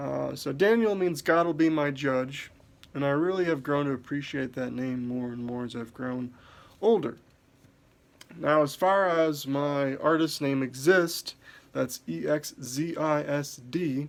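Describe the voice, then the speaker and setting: A man with an American accent mumbles at a fairly slow pace, his fairly high pitch moving with ordinary variation. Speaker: podcaster and musician. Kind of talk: self-introduction monologue. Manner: mumbling.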